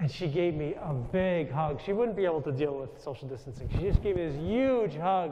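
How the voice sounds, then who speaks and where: A man talks at a fairly quick pace with hardly any pauses, his pitch fairly high and his intonation lively. Noticeable background noise runs underneath. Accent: American. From New York. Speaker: Jesuit priest. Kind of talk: spiritual talk to audience. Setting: stage with audience. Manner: loud.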